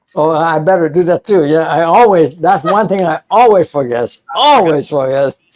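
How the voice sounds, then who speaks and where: A man's high-pitched voice with lively intonation, a moderate pace and hardly any pauses, in a dry, close sound with no echo. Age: 70s. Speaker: homebrewer and inventor. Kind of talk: casual chat. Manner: halting, repeating words.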